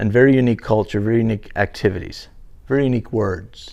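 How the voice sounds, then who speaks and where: Pitch sits at a medium level for this man, with ordinary variation. He speaks very fast. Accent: slight Newfoundland. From Newfoundland, Canada. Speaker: interviewee. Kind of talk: casual interview.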